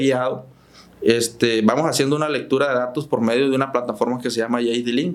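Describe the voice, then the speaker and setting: Noticeable background noise and a man talking at a moderate pace. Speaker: farm machinery dealer manager. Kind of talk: podcast interview.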